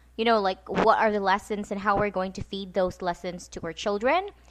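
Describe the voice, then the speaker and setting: Here a woman speaks at a medium pitch. She has a Visayan Filipino accent. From Philippines (Visayas). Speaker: podcast host, homeschooling mother. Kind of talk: casual chat. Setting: home, late night podcast.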